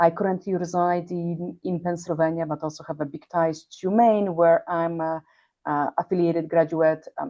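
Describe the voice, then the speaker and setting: A woman's fairly low voice in a Polish accent, flat and monotone, at a fairly quick pace. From Poland. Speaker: healthcare executive. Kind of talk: interview. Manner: halting, with many fillers.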